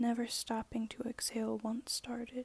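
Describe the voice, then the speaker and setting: A soft-spoken woman talks at a moderate pace. Her voice is fairly high, with a dark, mellow tone. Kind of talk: ASMR poetry reading.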